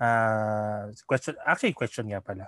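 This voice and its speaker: Recorded with a dry, close sound and no echo, a man speaks at a moderate pace with a Filipino accent. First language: Tagalog. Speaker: podcast host. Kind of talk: casual interview in Taglish. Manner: halting, many fillers.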